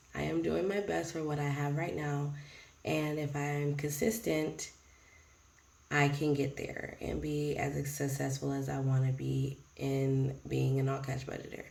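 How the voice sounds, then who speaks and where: Lively intonation marks a woman's very deep, low voice. She speaks at a fairly slow pace with audible room echo. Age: 30s. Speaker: budgeting vlogger and preschool teacher. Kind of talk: casual vlog talk. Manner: rambling, hesitant with many ums.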